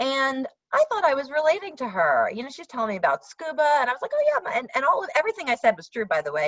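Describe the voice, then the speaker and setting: The speaker talks very fast with an American accent. The pitch swings very widely. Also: woman. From New York. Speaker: workshop facilitator. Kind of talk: workshop presentation.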